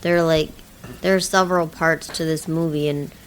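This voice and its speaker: This woman's voice is quiet and very deep, low in pitch. Her intonation stays monotone and flat. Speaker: movie review podcast co-host. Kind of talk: casual chat. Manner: hesitant, many fillers.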